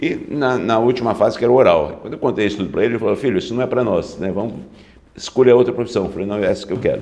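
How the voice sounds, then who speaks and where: A man talks very fast in a dark, mellow tone with ordinary pitch variation. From interior of São Paulo state, Brazil (Novo Horizonte). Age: 60s. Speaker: public prosecutor. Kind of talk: interview.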